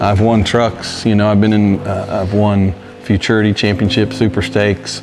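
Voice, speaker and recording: Over noticeable background noise, a man with a fairly low pitch speaks at a moderate pace in a monotone, flat intonation with very even loudness. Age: 60s. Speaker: coon hunter, competition winner. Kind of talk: interview testimony.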